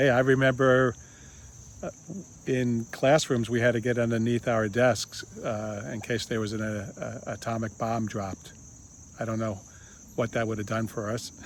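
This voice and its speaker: Speaking at a moderate pace, a man keeps his intonation fairly even and leaves long, frequent pauses. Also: medium pitch for a man. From United States. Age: 60s. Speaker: video blogger. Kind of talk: casual monologue. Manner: halting, many fillers.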